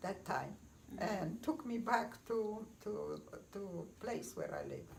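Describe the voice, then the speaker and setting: Noticeable background noise sits behind a woman who talks at a fairly slow pace. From Poland. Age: 80s+. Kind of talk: personal life story told to family. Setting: home, with children in background.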